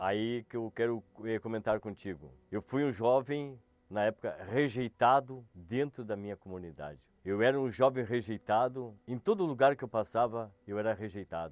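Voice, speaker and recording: The recording is dry and close with no echo as a man talks at a moderate pace and medium pitch, his pitch varying in an ordinary way. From Rio Grande do Sul, Brazil (São Gabriel). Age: 60s. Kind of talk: testimony. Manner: halting, with hesitations and repetitions.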